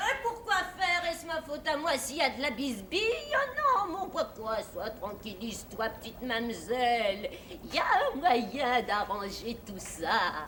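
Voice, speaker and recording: A female-sounding voice performs a put-on character voice at a high pitch and moderate pace. Clear background noise is heard behind it. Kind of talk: children's television theatre. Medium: stage play. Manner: theatrical, cackling, wheedling.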